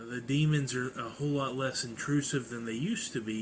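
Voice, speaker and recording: His intonation monotone and flat, a man talks at a moderate pace. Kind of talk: personal testimony. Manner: halting.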